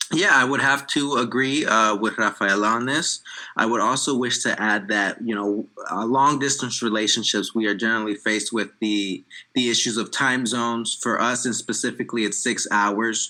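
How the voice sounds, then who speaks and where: In a Mid-Atlantic accent, a man speaks at medium pitch with a bright, sharp tone. His pace is moderate and his intonation fairly even. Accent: American, Mid-Atlantic. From USA. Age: 20s. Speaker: interviewee. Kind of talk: interview. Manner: hesitant, many fillers.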